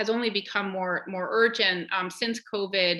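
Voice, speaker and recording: A woman's medium-pitched voice, bright and sharp in tone, with fairly even intonation. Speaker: nonprofit executive. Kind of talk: panel presentation. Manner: fast.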